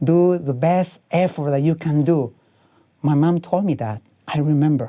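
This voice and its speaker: A man's fairly high voice in a dark, mellow tone, with ordinary pitch variation. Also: moderate pace. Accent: Spanish. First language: Spanish. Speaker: painter. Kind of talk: motivational talk. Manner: halting.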